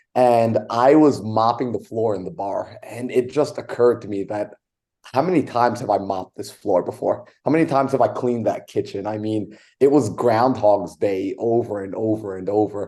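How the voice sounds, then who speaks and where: A man with an American accent and a normal speaking voice talks at a moderate pace, with medium pitch and ordinary pitch variation. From New York. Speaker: real estate investor. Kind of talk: interview, personal story. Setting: podcast interview.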